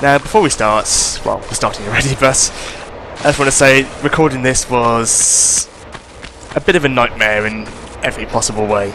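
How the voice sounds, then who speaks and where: Male voice at medium pitch and moderate pace, ordinary pitch variation, over noticeable background noise. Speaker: let's play gamer. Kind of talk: game commentary.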